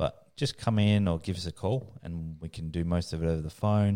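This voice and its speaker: A man with a very deep, low pitch, an Australian accent and fairly even intonation, on a very clean recording with a silent background. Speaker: motorcycle dealership sales manager. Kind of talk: casual chat. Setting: studio.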